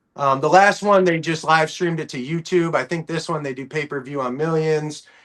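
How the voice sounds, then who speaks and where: Fairly high in pitch, a man with an American accent talks at a fairly quick pace with fairly even intonation. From Ohio, US. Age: 30s. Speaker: bare-knuckle fighter and hockey player. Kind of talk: interview. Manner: casual, halting with fillers.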